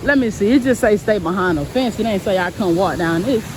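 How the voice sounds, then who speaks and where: A woman's medium-pitched voice at a fairly quick pace, with lively intonation and noticeable background noise. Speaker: vlogger. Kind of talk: casual vlog monologue. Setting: outdoors on a park walk. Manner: loud.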